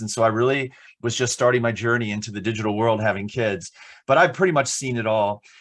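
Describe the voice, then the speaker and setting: A man with an American accent talks fairly quickly at a medium pitch. His pitch varies in an ordinary way over a quiet background. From New Jersey. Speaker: internet safety speaker. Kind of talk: webinar presentation. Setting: online webinar. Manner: fast; loud.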